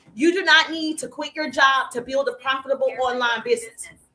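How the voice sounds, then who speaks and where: In an American accent, a woman projects a raised, high-pitched voice with a bright, sharp tone, lively intonation and a moderate pace. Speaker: business coach. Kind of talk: live stream chat. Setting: social media live stream. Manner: animated.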